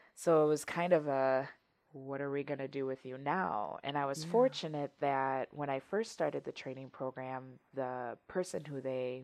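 A woman with an American accent and a very deep, low pitch, at a moderate pace. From Wisconsin. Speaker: safety professional. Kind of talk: casual interview chat.

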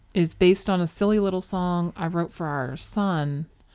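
Speaking fairly slowly in a normal speaking voice with an American accent, this speaker uses lively intonation on a very clean recording with a silent background. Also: woman. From Philadelphia suburbs, Delaware County. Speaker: podcast co-host. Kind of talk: casual chat.

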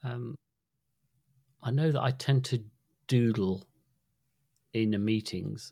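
A very slow, somewhat breathy man with a British accent, a dark, mellow tone and long, frequent pauses. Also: medium pitch for a man, ordinary pitch variation. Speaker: podcast co-host. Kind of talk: casual chat. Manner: halting.

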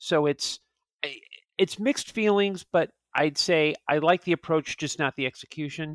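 A man speaks with a fairly high pitch and ordinary pitch variation. The sound is dry and close with no echo, in a very clean recording with a silent background. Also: moderate pace. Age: 40s. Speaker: film podcast guest. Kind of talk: casual chat. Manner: halting, many fillers and repeats.

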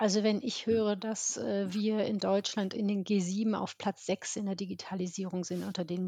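A woman with a plain, everyday voice at medium pitch, fairly slow pace and fairly even intonation, dry, close sound with no echo, and a quiet background. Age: 50s. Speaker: business development manager at a digital agency. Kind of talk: casual interview.

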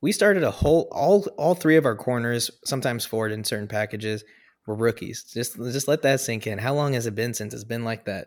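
A man's plain, everyday voice at a medium pitch, fairly quick, with ordinary pitch variation, on a very clean recording with a silent background. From US Pacific Northwest. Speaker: sports podcast co-host. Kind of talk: casual chat.

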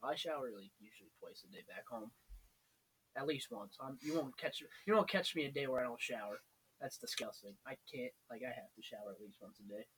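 Loudness swings widely as a man talks at a fairly quick pace. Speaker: college student podcast host. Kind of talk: casual chat.

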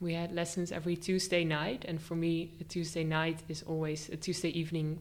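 A woman's fairly low-pitched, normal speaking voice at a moderate pace. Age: 20s. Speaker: art teacher trainee. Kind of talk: casual interview. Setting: studio, face to face.

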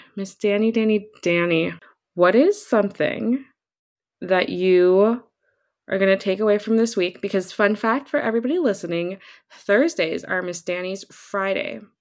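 Using a plain, everyday voice, a woman talks at a moderate pace in a medium pitch with ordinary pitch variation. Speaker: podcast host.

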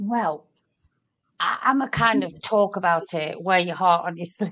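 At a moderate pace, a woman is speaking. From Britain. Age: 50s. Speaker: small business owner. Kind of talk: casual chat.

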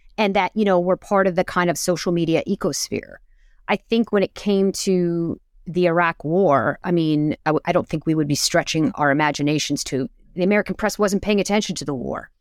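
At a fairly quick pace, a woman with a fairly low pitch uses a normal speaking voice and ordinary pitch variation, recorded with a dry, close sound with no echo. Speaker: intelligence analyst and writer. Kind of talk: casual interview conversation.

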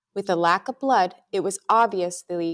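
Here a woman uses an ordinary speaking voice at a medium pitch, with ordinary pitch variation and a moderate pace. The sound is dry and close with no echo. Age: middle-aged. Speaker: true crime podcast co-host. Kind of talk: scripted narration; casual chat.

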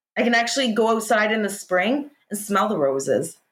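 A woman with a Canadian accent speaks in a normal speaking voice at a medium pitch and moderate pace. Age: 40s. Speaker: hypnotist, former smoker. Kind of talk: interview, personal testimony.

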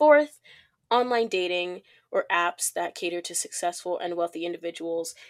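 A woman with an American accent speaks in a normal speaking voice at a moderate pace, her intonation lively. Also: fairly low pitch for a woman. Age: 20s. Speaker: podcast co-host. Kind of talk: casual chat.

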